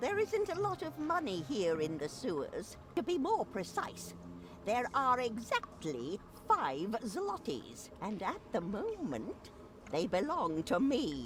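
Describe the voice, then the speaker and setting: A put-on character voice comes at a fairly slow pace over clear background noise. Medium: video game. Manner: theatrical, dry.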